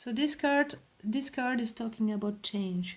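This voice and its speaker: In a French accent, a woman speaks at a very slow pace. Her pitch is fairly high, with ordinary variation. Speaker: tarot reader. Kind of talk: tarot reading. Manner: hesitant, many fillers.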